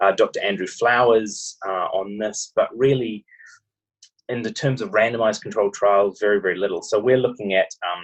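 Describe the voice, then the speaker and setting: In a New Zealand accent, a man speaks at a moderate pace. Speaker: medical researcher. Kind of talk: interview. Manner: hesitant, many fillers.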